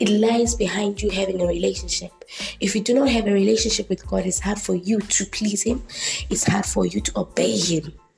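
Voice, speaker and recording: A woman talks at a fairly quick pace, her loudness very even. Music plays in the background. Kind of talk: devotional teaching.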